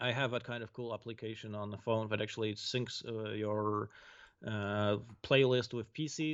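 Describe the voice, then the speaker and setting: This is a man talking. He keeps a moderate pace. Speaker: game designer. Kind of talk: casual chat.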